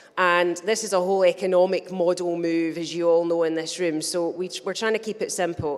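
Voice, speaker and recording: A woman speaks at a fairly quick pace in a Scottish accent. Her pitch is fairly low and her intonation fairly even. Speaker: business chamber representative. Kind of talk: conference talk. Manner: fast.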